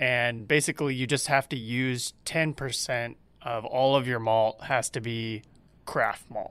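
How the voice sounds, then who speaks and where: A man with an American accent talks in an ordinary speaking voice of medium pitch and fairly even intonation. His fairly slow delivery sits in a very clean recording with a silent background. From Georgia, US South. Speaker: brewmaster. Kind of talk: casual interview chat.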